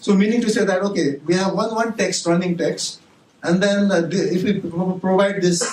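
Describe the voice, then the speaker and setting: Over noticeable background noise, a man with a Nepali accent talks fairly quickly in a high pitch. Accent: non-native English, Nepali. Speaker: university professor. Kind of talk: conference talk. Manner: halting, many fillers and restarts.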